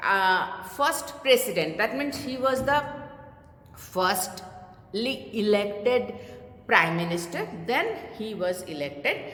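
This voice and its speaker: Amid audible room echo and noticeable background noise, a woman speaks at a very slow pace in a fairly high pitch with very wide pitch swings. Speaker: teacher. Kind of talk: lecture. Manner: hesitant, many fillers.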